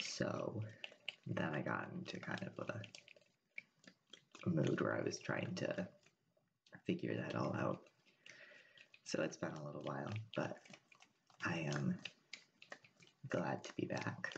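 A soft-spoken man at a fairly slow pace, with long, frequent pauses and noticeable background noise. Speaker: ASMR creator. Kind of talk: ASMR soft speaking. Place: home room. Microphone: studio mic.

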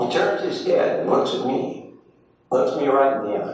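Strong room echo surrounds the recording. A man speaks at a fairly slow pace. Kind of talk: reading aloud from a book. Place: hall.

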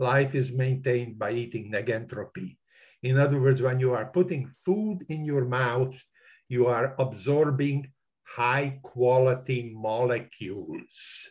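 A man's somewhat breathy voice, fairly slow, with ordinary pitch variation and a quiet background. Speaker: retired mathematics and physics professor; physics professor. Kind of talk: online discussion. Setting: video call. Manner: animated. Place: home room. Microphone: webcam.

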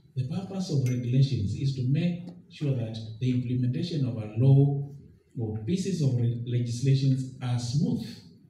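A man speaks at medium pitch and a moderate pace, with ordinary pitch variation. The room echo is audible. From Kenya. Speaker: government treasury representative. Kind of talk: formal public speech. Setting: public forum with audience and microphone. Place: hall. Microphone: podium.

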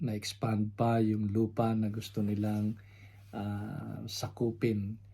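In a dark, mellow, somewhat breathy voice, a man speaks very slowly at fairly low pitch with monotone, flat intonation. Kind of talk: sermon. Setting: home recording, unedited.

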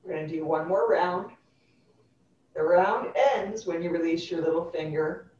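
A woman speaks at a fairly slow pace in a fairly low voice with fairly even intonation, leaving long, frequent pauses while audible room echo surrounds her. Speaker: yoga instructor. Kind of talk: guided chair yoga class. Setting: live online class. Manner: clear instructional cueing. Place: home room. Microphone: video call.

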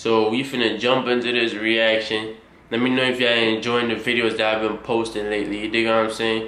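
Monotone, flat intonation at a fairly quick pace, with audible room echo. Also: man. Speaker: reaction video creator. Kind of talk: casual vlog chat. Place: home room. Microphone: phone near.

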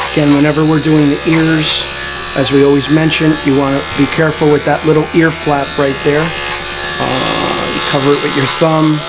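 The speech moves at a moderate pace with music in the background. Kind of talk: tutorial. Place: shop.

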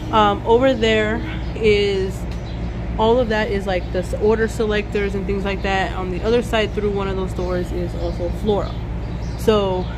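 A woman holds a moderate pace while noticeable background noise persists around her. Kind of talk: casual vlog chat. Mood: upbeat, enthusiastic. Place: street. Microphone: phone near.

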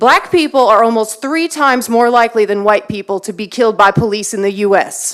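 A woman with an American accent speaks in a fairly high voice. Her intonation is lively. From Texas, Waller County. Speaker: public commenter. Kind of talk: public comment speech. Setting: city council meeting.

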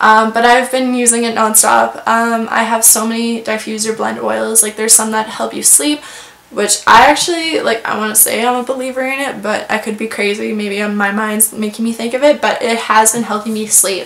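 A woman talks with hardly any pauses. Audible room echo surrounds her voice. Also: fairly high pitch for a woman, fairly even intonation, moderate pace. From rural farm area. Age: 20s. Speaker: beauty vlogger. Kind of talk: casual product review monologue. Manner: chatty, many fillers. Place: home room.

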